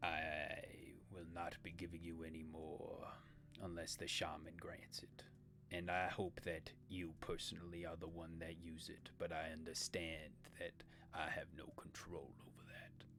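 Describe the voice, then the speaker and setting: Over loud background noise, a man puts on a character voice that is very deep and low, moving at a moderate pace. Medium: actual play. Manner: formal, grave, terse.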